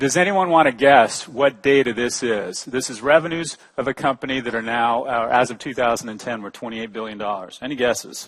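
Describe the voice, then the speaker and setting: With ordinary pitch variation, this man talks at a medium pitch. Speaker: conference speaker, business professor. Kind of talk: conference presentation. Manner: fast.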